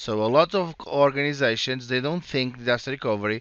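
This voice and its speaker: A man speaks with a Portuguese accent at a medium pitch. His pace is moderate and his pitch varies in an ordinary way. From Portugal. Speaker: cloud solutions architect presenting a tech session. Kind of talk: conference presentation. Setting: virtual conference session. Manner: halting with repetitions.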